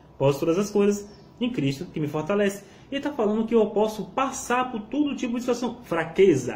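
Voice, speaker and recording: Lively intonation over noticeable background noise. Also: man, high pitch for a man, fairly quick pace. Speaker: bible teacher. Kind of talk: bible teaching video. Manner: fast.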